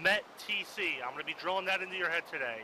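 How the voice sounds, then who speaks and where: The pitch of this man's voice is high. He speaks at a fairly quick pace. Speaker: military convoy instructor. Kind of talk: lecture. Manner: fast.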